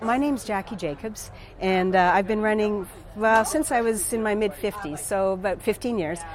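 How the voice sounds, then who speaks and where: A woman with a medium pitch and ordinary pitch variation talks at a moderate pace as noticeable background noise runs beneath her voice. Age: 60s. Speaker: artist and amateur marathon runner. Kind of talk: casual interview. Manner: halting, with many fillers and repetitions.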